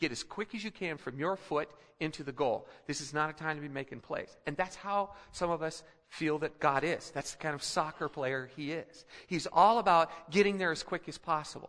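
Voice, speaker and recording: This man talks at a moderate pace in a fairly high voice with ordinary pitch variation. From Philippines. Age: 50s. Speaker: pastor. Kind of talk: sermon. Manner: halting.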